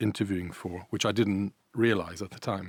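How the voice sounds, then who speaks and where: A man speaks with an Irish accent at fairly low pitch. The recording is very clean, with a silent background. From Ireland and Italy. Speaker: events business managing director. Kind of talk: podcast interview. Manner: hesitant, many fillers.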